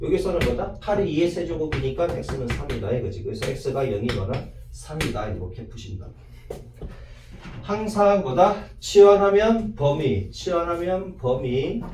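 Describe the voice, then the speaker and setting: Noticeable background noise sits under a man's speech, which also carries audible room echo. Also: fairly slow pace. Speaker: math teacher. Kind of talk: lecture. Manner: casual, rhetorical questions.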